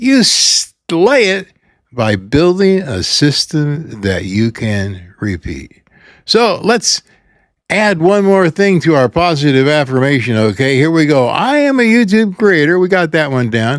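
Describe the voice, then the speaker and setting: Delivery comes at a fairly slow pace. Pitch swings across a very wide range. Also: man, fairly high pitch for a man, very clean recording, silent background. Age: 80s+. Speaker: YouTube creator and pastor. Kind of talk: motivational talk.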